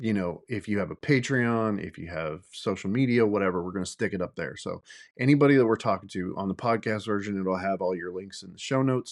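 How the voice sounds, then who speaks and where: Mumbling at a very fast pace with hardly any pauses, the speaker shows ordinary pitch variation over a quiet background. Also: man, fairly low pitch for a man. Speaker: podcast host. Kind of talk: solo podcast monologue. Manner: casual, hesitant with fillers.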